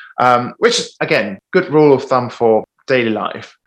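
At a moderate pace, a man talks in an Italian accent. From Italy. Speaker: musical theatre performer. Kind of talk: casual chat. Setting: video call.

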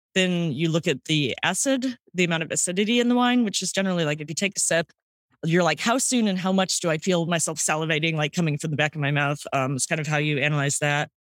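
Lively intonation and a very fast pace come through on a very clean recording with a silent background. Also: woman, fairly low pitch for a woman. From St. Louis, Missouri, US Midwest. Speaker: sommelier and wine podcaster. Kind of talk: casual interview chat. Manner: casual, filler-heavy.

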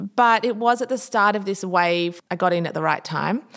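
With an ordinary speaking voice, a woman talks in a medium pitch and ordinary pitch variation. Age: 30s. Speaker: interiors blogger and business owner. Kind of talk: interview conversation.

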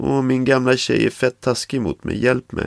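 Putting on a whiny, squeaky character voice at a medium pitch, a man speaks with a dry, close sound and no echo. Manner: whiny, complaining.

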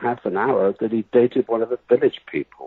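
A man speaks with a West Country accent at a medium pitch. His pace is fairly quick. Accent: English accent, West Country origin. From England. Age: 60s. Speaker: writer. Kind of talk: interview.

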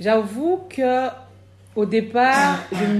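Speaking at a very slow pace, a woman uses a fairly high, somewhat breathy voice with ordinary pitch variation. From Cameroon. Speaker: midwife and midwifery trainer. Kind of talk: interview. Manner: hesitant, many fillers.

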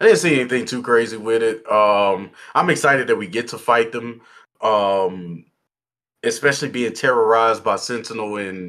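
A man's medium-pitched voice, bright and sharp in tone, at a moderate pace. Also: very clean recording, silent background. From Texas. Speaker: board game YouTuber. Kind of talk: casual chat.

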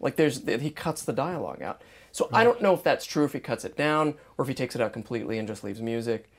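Very clean recording, silent background, as a man talks at a very fast pace. His pitch is fairly high and his intonation lively. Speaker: podcast host. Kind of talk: casual chat.

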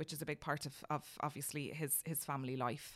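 A woman's very deep, low voice in an Irish accent with fairly even intonation. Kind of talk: casual chat.

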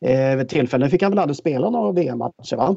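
Lively intonation marks this man's medium-pitched voice, which has a dark, mellow tone and vocal fry. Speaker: hockey pundit, former player. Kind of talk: casual chat.

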